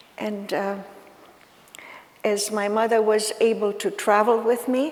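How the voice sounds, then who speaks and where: Amid noticeable background noise and audible room echo, the speaker goes at a fairly slow pace with fairly even intonation. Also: woman. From Ukraine. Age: 80s+. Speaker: Holocaust survivor speaker. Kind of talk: talk to students. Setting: school auditorium with audience. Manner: halting.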